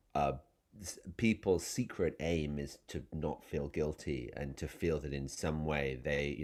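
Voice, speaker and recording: Speaking very slowly, a man uses an English accent with ordinary pitch variation. The recording is very clean, with a silent background. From England. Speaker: novelist. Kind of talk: interview. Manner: halting, many fillers and restarts.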